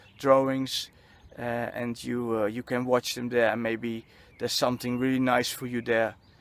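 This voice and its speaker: In a Dutch accent, a medium-pitched man talks at a moderate pace with a flat, monotone delivery. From Netherlands. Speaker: spiritual vlogger. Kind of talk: personal vlog monologue. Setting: outdoors on a football field. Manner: halting, many fillers and repetitions.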